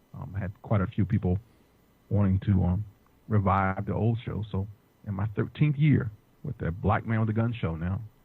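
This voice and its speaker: With an American accent, a man speaks at a moderate pace in a fairly low, somewhat breathy voice of dark, mellow tone, with ordinary pitch variation and long, frequent pauses. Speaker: firearms instructor and podcaster. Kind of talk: interview podcast.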